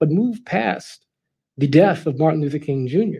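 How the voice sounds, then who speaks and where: A man speaks with a fairly high pitch and a dark, mellow tone. The background is quiet. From Los Angeles, California. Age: 30s. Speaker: political commentator. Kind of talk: prepared speech. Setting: live event with audience. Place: hall. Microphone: headset.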